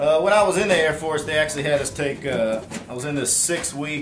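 Music plays in the background as a man speaks. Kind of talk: casual tutorial chat. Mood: relaxed, wry. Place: home room. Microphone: camera far.

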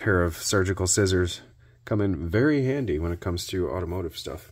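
A man with a very deep, low pitch against a quiet background. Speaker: YouTube DIY small-engine repairer. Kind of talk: casual workshop tutorial narration. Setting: home garage. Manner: animated. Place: workshop.

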